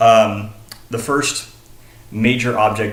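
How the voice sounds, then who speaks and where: Through audible room echo and noticeable background noise, a man with an American accent speaks fairly slowly at a fairly low pitch. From Texas, Dallas. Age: 20s. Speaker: college student. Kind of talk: self-disclosure presentation. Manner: halting, many fillers.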